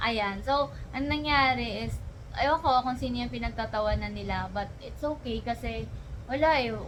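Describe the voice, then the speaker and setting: A woman talks at a moderate pace, her voice surrounded by audible room echo and noticeable background noise. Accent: Visayan. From Visayas, Philippines. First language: Bisaya (speaking Tagalog). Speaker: student vlogger. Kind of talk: casual vlog storytelling. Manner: hesitant, many fillers.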